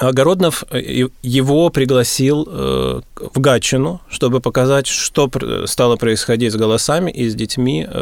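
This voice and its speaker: This man's voice sits at a medium pitch, and its pitch varies in an ordinary way. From Russia, Gatchina near St Petersburg. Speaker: vocal teacher. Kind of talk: radio interview.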